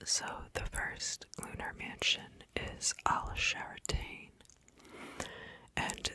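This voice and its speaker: A whisper at a very slow pace comes through over noticeable background noise. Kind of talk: ASMR whispered educational narration about astrology. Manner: whispering, soft-spoken.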